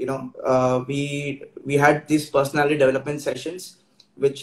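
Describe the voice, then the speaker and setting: A somewhat breathy man talks at a moderate pace. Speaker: guest. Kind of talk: interview answer. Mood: grateful, warm.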